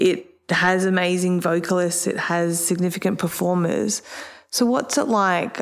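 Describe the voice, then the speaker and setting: An unremarkable speaking voice at a moderate pace. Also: woman. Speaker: interviewer. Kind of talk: casual interview chat.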